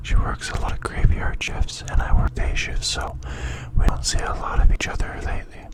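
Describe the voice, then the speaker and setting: Amid noticeable background noise, a man is whispering. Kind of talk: casual talk to camera.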